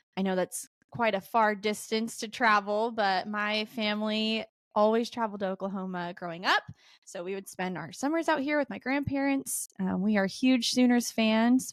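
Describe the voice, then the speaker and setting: Speaking at a moderate pace with an American accent, a woman has an unremarkable speaking voice, a fairly high pitch and ordinary pitch variation. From Nevada, Las Vegas. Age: 20s. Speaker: podcast co-host, dental school applicant. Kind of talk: casual chat.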